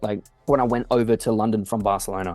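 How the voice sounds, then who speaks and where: A man's fairly low, dark, mellow voice with an Australian accent, fairly quick and monotone, with flat intonation. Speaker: music producer. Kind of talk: casual interview. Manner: fast, casual with fillers.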